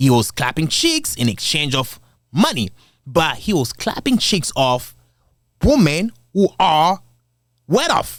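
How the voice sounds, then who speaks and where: Talking at a very slow pace with long, frequent pauses, a man with an African accent and a fairly high pitch makes very wide pitch swings. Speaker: commentary video creator. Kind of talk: casual commentary. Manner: casual, conversational.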